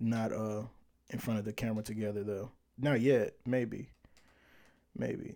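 On a very clean recording with a silent background, a man with a dark, mellow tone speaks at a fairly slow pace with fairly even intonation and long, frequent pauses. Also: medium pitch for a man. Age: 20s. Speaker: podcast host. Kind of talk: casual livestream chat. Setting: Facebook Live stream.

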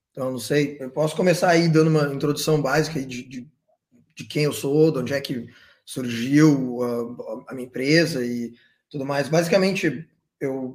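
A man with a southern Brazilian accent speaks at a moderate pace in a fairly high pitch, his intonation fairly even, his loudness swinging widely and his pauses long and frequent. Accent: gaúcho Brazilian Portuguese. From southern Brazil, Porto Alegre. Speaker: entrepreneur, events business founder. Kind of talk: casual interview chat.

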